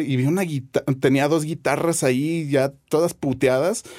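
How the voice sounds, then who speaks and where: Talking at a moderate pace, a man with an unremarkable speaking voice and a fairly high pitch uses ordinary pitch variation. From Guadalajara, Jalisco, Mexico. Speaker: bassist and music producer. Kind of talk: casual interview chat.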